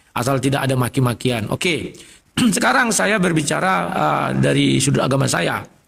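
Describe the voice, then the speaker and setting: The speech moves at a moderate pace. Its loudness stays very even. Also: man. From North Sumatra, Indonesia. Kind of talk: religious debate.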